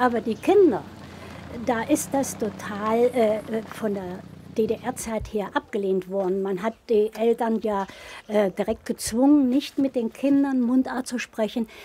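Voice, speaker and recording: With a dark, mellow tone, a woman talks at a very slow pace using ordinary pitch variation. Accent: Thuringian. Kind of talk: interview answer.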